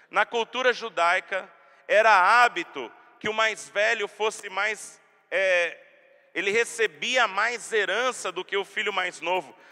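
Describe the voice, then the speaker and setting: A man projects his raised, high-pitched voice at a very slow pace, his bright, sharp tone and fairly even intonation heard dry and close with no echo. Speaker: pastor. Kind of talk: sermon.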